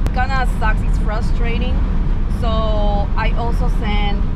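Loud background noise sits behind a woman speaking at a very slow pace. Her sound is dry, with no echo. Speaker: vlogger. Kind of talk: casual vlog chat. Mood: frustrated, venting. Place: car. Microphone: phone near.

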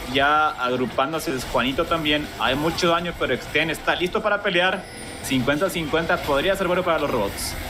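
Amid noticeable background noise, a man speaks at a moderate pace with a fairly high pitch, ordinary pitch variation and very even loudness. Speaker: esports analyst co-caster. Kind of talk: esports analysis as color commentary. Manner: calmer, explanatory, measured compared with the play-by-play caster.

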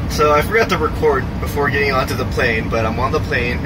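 There is loud background noise behind a man as he speaks. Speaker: travel vlogger. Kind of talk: casual vlog chat. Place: plane. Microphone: phone near.

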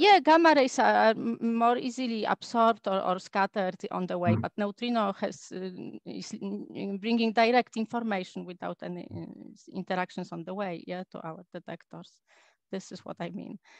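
Against a quiet background, a woman speaks at a moderate pace with ordinary pitch variation, big swings in loudness and a dry sound with no echo. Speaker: astrophysicist; speaker. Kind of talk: lecture. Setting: video call. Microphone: video call.

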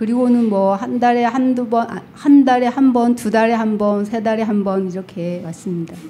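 A plain, everyday voice from a woman, fairly high in pitch, at a moderate pace with hardly any pauses, fairly even intonation and light background noise. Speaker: retreat participant. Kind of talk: audience question. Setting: uses microphone in audience. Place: hall. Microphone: studio mic.

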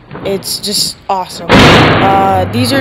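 Noticeable background noise behind a woman speaking at a fairly low pitch. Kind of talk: casual voiceover commentary.

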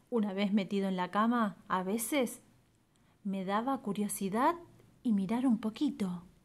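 The voice is somewhat breathy, going at a fairly slow pace with long, frequent pauses and ordinary pitch variation. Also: woman, medium pitch for a woman. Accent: Argentine. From Argentina. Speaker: storyteller. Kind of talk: children's story reading.

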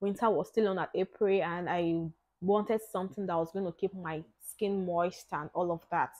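An unremarkable speaking voice moves at a moderate pace with fairly even intonation over a quiet background. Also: woman, medium pitch for a woman. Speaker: lifestyle vlogger. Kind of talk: product review. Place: home room. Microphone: lapel.

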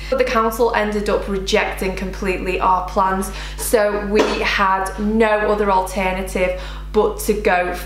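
A woman speaks at a fairly slow pace amid audible room echo and faint background music. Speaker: home vlogger. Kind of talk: casual vlog chat. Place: kitchen.

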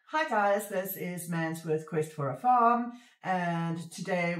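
Against a quiet background with audible room echo, a woman speaks at a very slow pace with ordinary pitch variation. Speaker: homestead vlogger. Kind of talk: casual vlog chat. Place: home room. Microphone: phone near.

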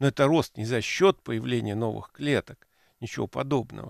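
A man talks at a moderate pace. The sound is dry with no echo, over a quiet background. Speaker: professor hosting a radio program. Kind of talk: lecture. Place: studio. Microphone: headset.

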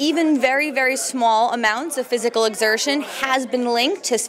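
Light background noise accompanies a woman speaking very fast at a high pitch with ordinary pitch variation. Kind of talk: interview answer. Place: hall. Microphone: handheld.

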